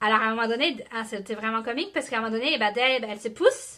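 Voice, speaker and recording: Very fast and bright, sharp in tone, a woman talks with a Quebec accent. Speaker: network marketing team leader. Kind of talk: live motivational talk. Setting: live video stream. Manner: animated.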